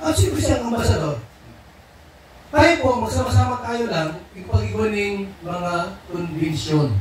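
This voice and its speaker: Against noticeable background noise and audible room echo, a man speaks high for his sex at a fairly slow pace, with very wide pitch swings, big swings in loudness and long, frequent pauses. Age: 60s. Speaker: charity vlog program leader. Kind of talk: group briefing.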